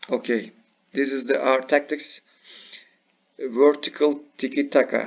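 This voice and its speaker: With a non-native accent, a man speaks fairly slowly in a fairly high, flat monotone, leaving long, frequent pauses. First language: not English. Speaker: video game youtuber. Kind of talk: gameplay tutorial. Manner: halting.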